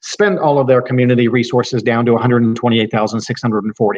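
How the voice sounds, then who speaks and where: A man speaks at a medium pitch. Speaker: estate planning lawyer. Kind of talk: lecture. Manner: fast.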